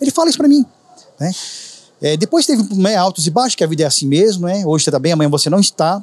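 Lively intonation carries this very fast speech over noticeable background noise. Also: man. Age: 50s. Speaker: juice street vendor, former bank employee. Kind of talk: casual interview chat. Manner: talkative.

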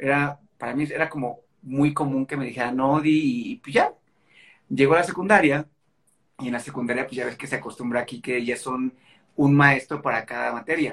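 A man with a plain, everyday voice speaks at a fairly quick pace, pitched fairly high and keeping a fairly even intonation. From Mexico, Guadalajara (Jalisco). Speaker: actor. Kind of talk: casual interview.

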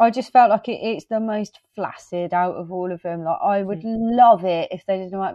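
A woman with an English accent, medium pitch, fairly even intonation and a moderate pace. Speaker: horror podcast co-host. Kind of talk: casual chat.

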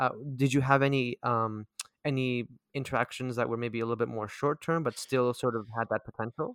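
Fairly quick and at medium pitch, a man uses an ordinary speaking voice, with dry, close sound and no echo. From Vancouver, Canada. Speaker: podcast host. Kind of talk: casual interview chat.

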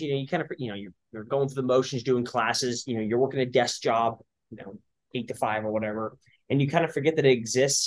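A man with a plain, everyday voice speaks fairly quickly in an American accent. His pitch is fairly high, and the background is quiet. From California. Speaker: CrossFit and tactical games athlete. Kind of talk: casual chat.

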